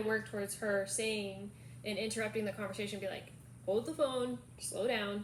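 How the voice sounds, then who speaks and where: A woman speaks at a medium pitch in a bright, sharp tone. Audible room echo surrounds her voice. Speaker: caregiver vlogger. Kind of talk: casual chat.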